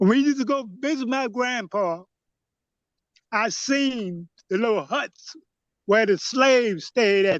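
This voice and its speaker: This man's pitch is extremely high and his intonation lively, at a fairly slow pace. He leaves long, frequent pauses, and the sound is dry and close with no echo. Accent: Louisiana. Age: 70s. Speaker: elder panelist. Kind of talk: testimony.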